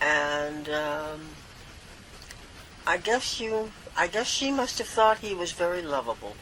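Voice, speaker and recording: Very slow with long, frequent pauses, a woman speaks in a bright, sharp tone at a fairly low pitch, her pitch swinging very widely. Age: 90s. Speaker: daughter of a famous baseball player. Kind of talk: interview answer. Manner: sharp, spry.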